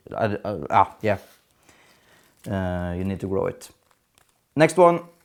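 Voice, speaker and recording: This very clean recording has a silent background. In it, a man talks fairly slowly. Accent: non-native. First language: not English. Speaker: gardening youtuber. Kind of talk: casual tutorial vlog. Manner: hesitant, many fillers.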